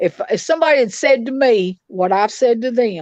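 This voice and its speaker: A woman with a Tennessee accent talks at a fairly slow pace and fairly high pitch with lively intonation, in a dry, close sound with no echo and a quiet background. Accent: Southern US (Tennessee). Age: 60s. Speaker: victim's mother. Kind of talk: interview. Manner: animated.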